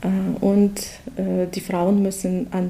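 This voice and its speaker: A woman's medium-pitched voice with flat, monotone intonation. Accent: Russian. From Russia. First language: Russian (speaking German). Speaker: project participant, mother. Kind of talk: interview. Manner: halting.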